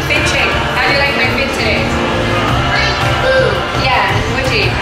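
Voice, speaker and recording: Audible room echo with loud music in the background. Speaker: family vlogger. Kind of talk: casual vlog chat. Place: car. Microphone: phone near.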